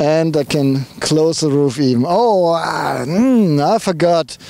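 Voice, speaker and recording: A man speaks in a strong German accent. His pitch is fairly high and his pace fairly slow. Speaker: car reviewer. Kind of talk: casual talk to camera.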